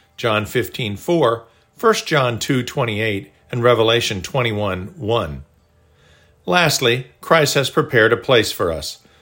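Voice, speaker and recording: A man's fairly slow delivery at a medium pitch, with lively intonation and a bright, sharp tone. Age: 60s. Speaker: devotional author and narrator. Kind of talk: scripted narration.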